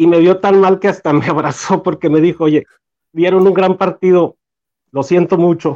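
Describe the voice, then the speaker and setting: Against a quiet background, a man with a high pitch talks at a moderate pace and very even loudness. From Mexico, Torreón, Coahuila. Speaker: fan group founder. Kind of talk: casual chat among fans. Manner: halting, many repetitions.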